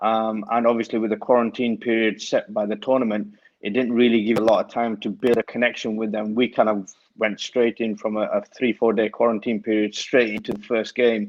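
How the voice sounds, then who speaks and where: Fairly quick in pace, a man speaks at medium pitch with monotone, flat intonation. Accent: strong Lancashire. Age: young. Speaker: cricket coach. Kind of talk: casual interview chat.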